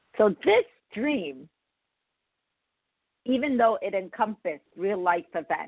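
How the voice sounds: A woman speaks slowly with lively intonation. The sound is dry and close, with no echo.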